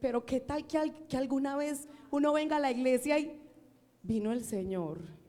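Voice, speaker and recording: A woman with a high pitch and a dark, mellow tone speaks at a moderate pace. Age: old. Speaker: preacher. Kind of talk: sermon.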